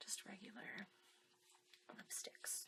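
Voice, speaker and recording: This woman's speech is a whisper. Her pace is fairly slow. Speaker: ASMR video maker. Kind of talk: casual talk to camera. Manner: soft-spoken.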